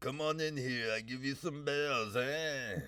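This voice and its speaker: Doing a put-on character voice, a man sounds gravelly and strained, fairly high-pitched, at a fairly slow pace. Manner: salesman-like, inviting.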